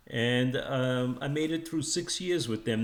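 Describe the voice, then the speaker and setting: With normal rises and falls in his middle-range voice, a man talks at a medium speed. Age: 60s. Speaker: hearing aid customer, retired-age salesman. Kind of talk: testimonial. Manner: halting, many fillers.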